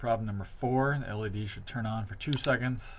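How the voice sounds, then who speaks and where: A man's fairly low, somewhat breathy voice with audible room echo. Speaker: teacher. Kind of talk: tutorial. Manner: fast.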